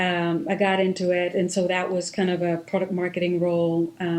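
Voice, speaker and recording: A woman with an Israeli accent speaks at a fairly quick pace with hardly any pauses. Her pitch is fairly low and her intonation is flat and monotone. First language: Hebrew. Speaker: marketing executive. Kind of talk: interview, personal story. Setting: podcast.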